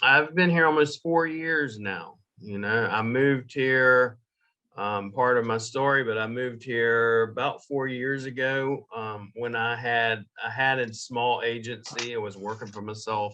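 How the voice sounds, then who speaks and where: Talking at a fairly slow pace, a man with a Southern US accent has a medium pitch and ordinary pitch variation. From US South, Jacksonville, Florida. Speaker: digital marketing agency owner. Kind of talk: podcast interview.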